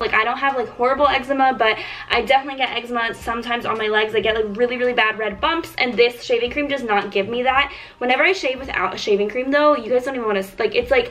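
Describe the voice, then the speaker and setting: Speaking at a very fast pace, a woman uses a high voice with ordinary pitch variation. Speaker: beauty vlogger. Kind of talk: casual vlog chat. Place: home room. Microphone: phone near.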